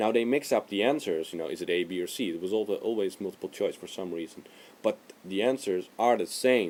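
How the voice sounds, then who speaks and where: Speaking at a fairly quick pace with a non-native accent, the man has a fairly low pitch and ordinary pitch variation. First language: not English. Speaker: video blogger. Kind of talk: casual vlog monologue. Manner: hesitant, with fillers.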